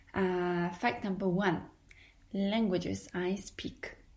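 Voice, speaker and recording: A woman's medium-pitched voice at a very slow pace, with audible room echo. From Poland. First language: Polish. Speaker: podcaster. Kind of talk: podcast monologue. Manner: hesitant.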